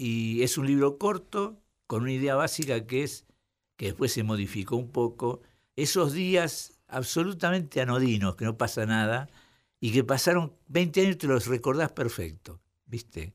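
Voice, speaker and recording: Very wide pitch swings from a man at medium pitch and a fairly slow pace, on a very clean recording with a silent background. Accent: Rioplatense. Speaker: writer and literary critic. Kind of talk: radio interview.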